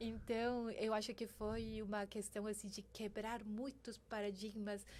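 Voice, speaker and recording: The speaker uses a Spanish accent, talking at a fairly slow pace in monotone, flat intonation. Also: woman, fairly high pitch for a woman. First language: Spanish (speaking Portuguese). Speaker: banking sustainability executive. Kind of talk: interview podcast. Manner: halting, with many fillers.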